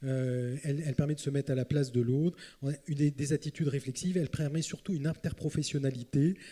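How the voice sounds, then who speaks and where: Here is a man with a dark, mellow tone that is somewhat breathy. His pitch moves with ordinary variation. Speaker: psychiatrist, panelist. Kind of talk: round table talk. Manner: hurried, hesitant.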